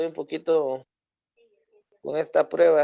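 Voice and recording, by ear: Speaking with vocal fry at a fairly slow pace, a man uses a fairly high pitch that moves very little.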